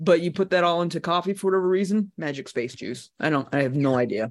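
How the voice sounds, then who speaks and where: The recording is very clean, with a silent background. A man speaks in an animated tone at a high pitch. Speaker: podcast co-host. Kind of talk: casual banter. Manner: animated, joking.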